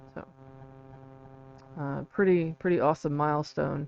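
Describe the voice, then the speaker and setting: A woman mumbles at a very deep, low pitch. Her pitch variation is ordinary. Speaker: independent researcher and author. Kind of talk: live stream talk. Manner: halting, many fillers; mumbling.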